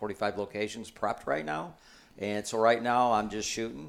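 Fairly even in intonation, a man speaks in a plain, everyday voice with an American accent. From Michigan. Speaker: bowhunting author. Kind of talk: casual chat. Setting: indoors at a hunting gathering.

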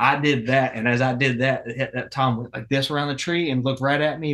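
The speaker has a Southern US accent and fairly even intonation. The pace is fairly quick. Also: man. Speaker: outdoor podcast host. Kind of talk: casual chat. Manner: stutter.

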